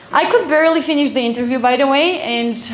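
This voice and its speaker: A woman with an Eastern European accent uses lively intonation, heard with audible room echo and noticeable background noise. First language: Eastern European language. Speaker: event speaker. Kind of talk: motivational talk.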